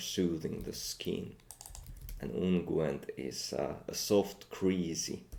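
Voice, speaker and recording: In a Finnish accent, a man talks at a fairly slow pace. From Finland. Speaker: language learner and video creator. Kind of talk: reading aloud with vocabulary commentary. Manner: halting, with frequent fillers.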